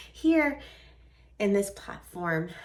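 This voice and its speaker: The speaker is a woman. Her accent is slightly Venezuelan. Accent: slight Venezuelan. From United States, raised from age six after leaving Venezuela. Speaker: vlogger. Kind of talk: personal vlog monologue.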